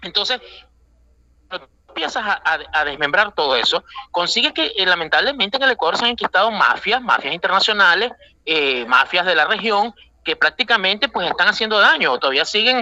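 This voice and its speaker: Heard dry and close with no echo, a man with a high pitch projects a raised voice at a fairly quick pace with very wide pitch swings. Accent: Venezuelan. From Venezuela. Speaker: Ecuadorian politician, former assembly member. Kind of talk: radio interview. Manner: halting, frequent fillers.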